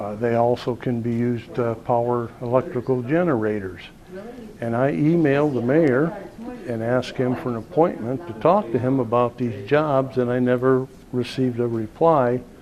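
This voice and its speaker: Music plays behind a man whose speech moves at a moderate pace. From Indiana, Fort Wayne area. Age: 60s. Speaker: mayoral candidate. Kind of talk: interview.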